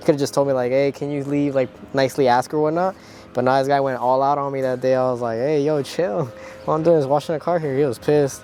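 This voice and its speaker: A man speaks very fast with fairly even intonation and a fairly high pitch. Music plays in the background. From southern California, raised from age two after Mexico. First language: Spanish. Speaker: car detailer and channel owner. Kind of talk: video outro to viewers; casual on-the-job interview. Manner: casual, many fillers like 'like' and 'um'.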